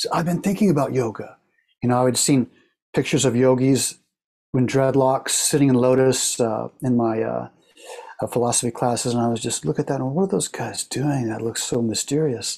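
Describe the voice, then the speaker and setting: A man's ordinary speaking voice at medium pitch, with ordinary pitch variation. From Oklahoma, US. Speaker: yoga teacher. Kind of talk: interview conversation.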